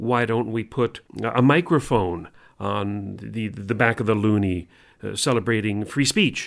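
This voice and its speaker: This man speaks fairly slowly with a Canadian accent and a fairly low pitch, with ordinary pitch variation. He has an ordinary speaking voice, recorded very cleanly against a silent background. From Canada. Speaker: radio co-host. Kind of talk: casual chat.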